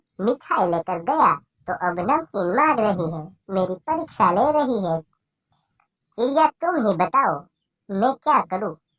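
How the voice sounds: A female-sounding cartoonish character voice at a middle pitch moves at a moderate pace with long, frequent pauses.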